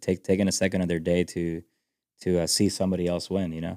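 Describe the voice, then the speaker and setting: Speaking very fast in a Spanish accent, a man with a very deep, low pitch and a dark, mellow tone is heard in a very clean recording with a silent background. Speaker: country music singer. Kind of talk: podcast interview. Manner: halting, many fillers and restarts.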